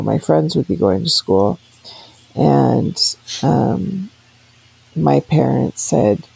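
Noticeable background noise sits under delivery that unfolds at a very slow pace. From grew up abroad in church families, incl. Tahiti and Africa. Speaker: interviewee telling life story. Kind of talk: life story interview.

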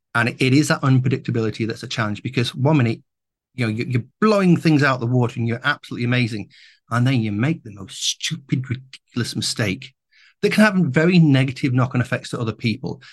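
A man's medium-pitched, somewhat breathy voice at a very fast pace, with lively intonation and a quiet background. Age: 50s. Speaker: AI and new media entrepreneur, podcast host. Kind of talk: interview conversation.

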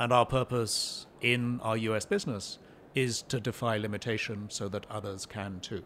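A man with a plain, everyday voice, medium pitch, moderate pace and fairly even intonation. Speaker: pharmaceutical company CEO. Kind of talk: podcast interview. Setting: in-person at a conference.

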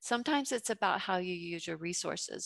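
In an American accent, the voice has a bright, sharp tone at a moderate pace, the sound dry and close with no echo against a quiet background. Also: woman. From US South, Georgia (Fayette County). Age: 50s. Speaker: entrepreneur, juice bar owner. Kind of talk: interview.

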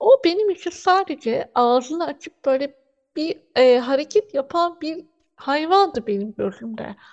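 Against a quiet background, a woman speaks fairly slowly in a high voice with very wide pitch swings. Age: 30s. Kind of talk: radio interview.

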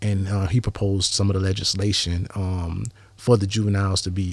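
Very fast and somewhat breathy, a man with a very deep, low voice speaks in a monotone, flat intonation. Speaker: former prisoner. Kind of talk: interview.

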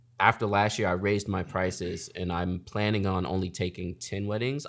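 A man with a normal speaking voice talks at a moderate pace and a fairly low pitch in a very clean recording with a silent background. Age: 30s. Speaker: wedding photographer and YouTuber. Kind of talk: casual chat.

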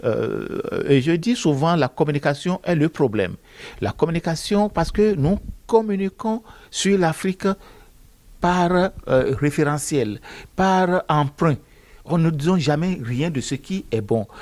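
A man with a high pitch talks at a very slow pace with lively intonation. Long, frequent pauses break up his speech, and the recording is very clean with a silent background. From Benin. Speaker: author and accountant. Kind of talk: interview monologue. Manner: hesitant, with fillers and repetitions.

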